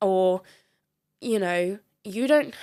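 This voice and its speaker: This woman has a southern English accent and a medium pitch. The recording is very clean with a silent background. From England, Devon. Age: 30s. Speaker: ICU nurse and CrossFit coach. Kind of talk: podcast interview. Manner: animated.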